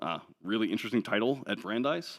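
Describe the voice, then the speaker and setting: Lively intonation on a very clean recording with a silent background. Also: man. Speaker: open source sustainability advocate. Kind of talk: conference talk. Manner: fast.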